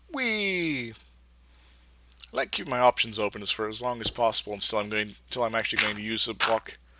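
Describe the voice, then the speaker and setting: Noticeable background noise sits under the voice. The delivery keeps a moderate pace. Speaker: gaming YouTuber. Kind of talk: let's play commentary. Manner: animated.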